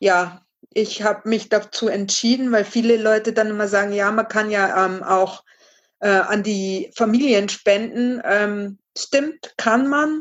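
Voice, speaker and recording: The woman's delivery is very slow, and her intonation stays fairly even. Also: fairly high pitch for a woman. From Bavaria, Regensburg. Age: 30s. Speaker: charity fundraiser. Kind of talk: podcast interview.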